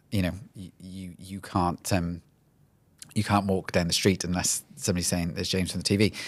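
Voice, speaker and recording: A man with a Welsh accent speaks at a fairly quick pace with a very deep, low pitch and fairly even intonation. His loudness swings widely, and the recording is very clean with a silent background. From Wales. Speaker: HR executive. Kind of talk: podcast interview.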